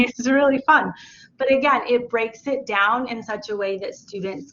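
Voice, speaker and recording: Using an unremarkable speaking voice, a woman talks at a fairly slow pace with lively intonation. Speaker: teacher. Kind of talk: webinar presentation.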